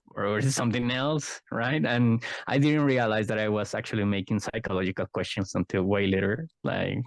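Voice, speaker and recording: Over a quiet background, a man with a Spanish accent talks in a fairly low pitch with ordinary pitch variation. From Mexico, Guadalajara (Jalisco). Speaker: psychologist and card game artist. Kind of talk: interview conversation. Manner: halting, many fillers.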